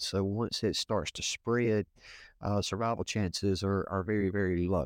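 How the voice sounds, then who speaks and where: A man with a fairly low pitch speaks at a moderate pace with fairly even intonation, the sound dry and close with no echo and the recording very clean over a silent background. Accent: Louisiana. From Northeast Louisiana. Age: 40s. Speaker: assistant pastor and nurse practitioner. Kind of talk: interview testimony. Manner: halting, frequent fillers.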